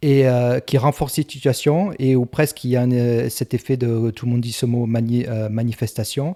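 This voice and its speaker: A man speaks in a dark, mellow tone with fairly even intonation. The sound is dry and close, with no echo. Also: very clean recording, silent background. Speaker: self-help coach. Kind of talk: tutorial. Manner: halting.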